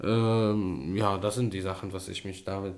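A man speaks with an Arabic accent at a fairly low pitch. His pitch varies in an ordinary way. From Syria, Damascus. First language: Arabic (speaking German). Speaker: filmmaker and YouTuber. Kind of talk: interview. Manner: halting, broken German with many fillers.

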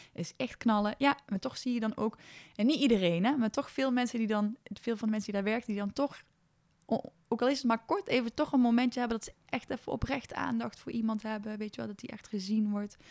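With an enthusiastic tone, a woman talks at a fairly quick pace in a fairly high pitch with ordinary variation. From Brabant, Netherlands (small village). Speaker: communications adviser, founder of elderly social initiative. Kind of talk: casual interview. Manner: hesitant, many fillers.

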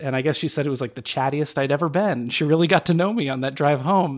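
Words pour out very fast, the pitch varying in an ordinary way. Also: man. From Phoenix, Arizona. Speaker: podcast co-host. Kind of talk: casual chat.

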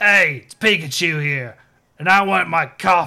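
In a gruff put-on character voice, a man speaks at a moderate pace and a fairly high pitch, on a very clean recording with a silent background.

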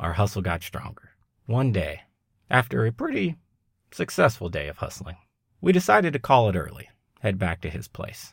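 A man with an American accent speaks at medium pitch, somewhat breathy. The recording is very clean, with a silent background. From Long Beach, California. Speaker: podcast host. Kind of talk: scripted narration.

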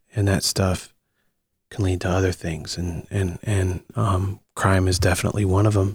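A man with an American accent, fairly low in pitch and somewhat breathy, at a moderate pace with fairly even intonation and a dry, close sound with no echo. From Akron, Ohio, US Midwest. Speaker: actor and screenwriter. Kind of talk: interview. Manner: halting, many fillers and repeats.

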